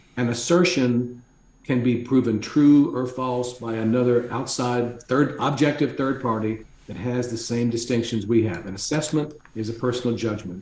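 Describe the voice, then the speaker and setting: A man talks at a moderate pace in a medium pitch, his intonation fairly even. Audible room echo surrounds his voice. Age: 60s. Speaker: executive coach and author. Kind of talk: casual chat.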